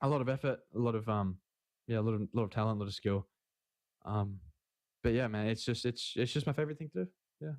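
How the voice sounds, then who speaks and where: Delivered at a very fast pace with long, frequent pauses, the speech has an Australian accent and a dry, close sound with no echo. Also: man, medium pitch for a man, ordinary pitch variation. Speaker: esports player. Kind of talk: interview. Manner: halting.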